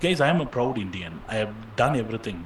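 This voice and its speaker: Over noticeable background noise and audible room echo, a man talks in a fairly low pitch. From India, Chennai. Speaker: online course instructor. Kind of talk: live Q&A session.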